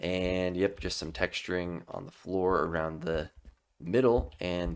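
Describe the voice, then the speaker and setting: At a fairly slow pace, a man talks in a very deep, low pitch. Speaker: gaming YouTuber. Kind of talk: gameplay commentary. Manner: monotone.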